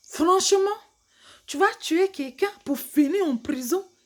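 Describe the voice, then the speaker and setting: A woman speaks at a very slow pace. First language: English (speaking French). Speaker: vlogger. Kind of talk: casual monologue to camera. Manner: animated; halting.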